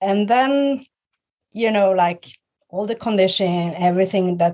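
This woman has a dark, mellow tone and a medium pitch. She speaks at a fairly slow pace with ordinary pitch variation. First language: Swedish. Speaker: guest, clothing stylist and business owner. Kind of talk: casual interview chat. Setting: video call.

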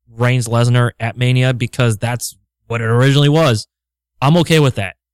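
A man with an unremarkable speaking voice talks at a moderate pace and medium pitch with ordinary pitch variation, the sound dry and close with no echo. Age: 30s. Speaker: wrestling podcast co-host. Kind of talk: casual chat.

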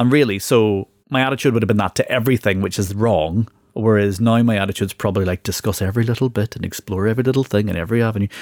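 Fairly low in pitch and fairly even in intonation, a man talks at a very fast pace on a very clean recording with a silent background and a dry, close sound with no echo. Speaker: podcast host. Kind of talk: casual chat.

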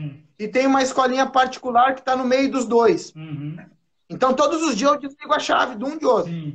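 Speaking at a moderate pace, a man uses an extremely high voice. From southern Brazil, Porto Alegre. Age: 40s. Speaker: former footballer. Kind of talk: casual interview. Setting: remote live stream.

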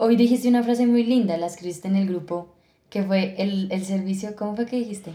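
Fairly quick and somewhat breathy, a woman's dark, mellow voice holds a medium pitch with fairly even intonation. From Colombia, Villeta (Cundinamarca). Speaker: podcast co-host. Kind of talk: casual chat. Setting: studio.

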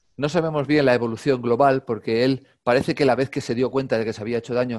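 Very fast speech from a man, intonation fairly even. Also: hardly any pauses, very clean recording, silent background. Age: 50s. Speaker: calisthenics YouTuber and gymnastics coach. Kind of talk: casual interview chat.

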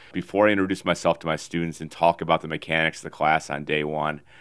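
A man's very deep, low voice in a flat monotone, at a fairly quick pace. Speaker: podcast co-host. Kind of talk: casual sports chat.

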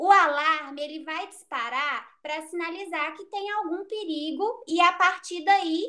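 A raised, projected voice carries a bright, sharp tone. Its pace is fairly slow, and its pitch variation is ordinary. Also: woman. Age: 20s. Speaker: psychology student. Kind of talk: casual interview. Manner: halting.

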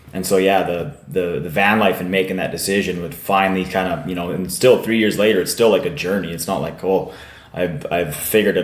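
A man talks at a fairly quick pace in a very deep, low voice, with ordinary pitch variation and hardly any pauses. Noticeable background noise and audible room echo fill the recording. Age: 30s. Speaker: podcast host. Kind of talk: casual chat. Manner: animated.

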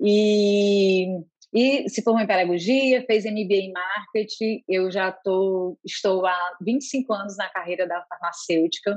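A woman talks at a very slow pace. She hardly pauses at all. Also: medium pitch for a woman, ordinary pitch variation. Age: 40s. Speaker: healthcare innovation manager. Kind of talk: interview.

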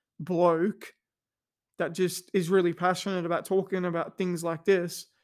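A man's high-pitched, flat monotone at a moderate pace, on a very clean recording with a silent background. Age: 30s. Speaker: podcast host. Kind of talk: personal monologue. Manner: casual, many fillers and restarts.

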